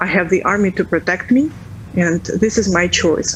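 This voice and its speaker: Against noticeable background noise, a woman with a Russian accent speaks at a moderate pace, her medium pitch showing ordinary variation. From Ukraine, Kyiv. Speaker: interviewee, civilian resident. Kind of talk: news interview. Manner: halting.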